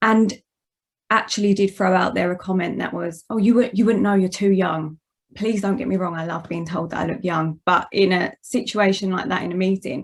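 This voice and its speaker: The speaker has an Essex accent and ordinary pitch variation. The pace is moderate. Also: woman, medium pitch for a woman. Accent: Essex accent, noticeable. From Essex, England. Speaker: managing director, guest speaker. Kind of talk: presentation talk.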